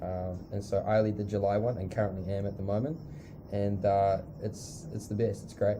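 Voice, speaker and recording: Fairly low-pitched male voice in a New Zealand accent, dark and mellow in tone, somewhat breathy, with fairly even intonation and audible room echo. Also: moderate pace. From New Zealand, South Island (near Christchurch). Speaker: missionary school leader. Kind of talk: casual interview. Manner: hesitant, many fillers.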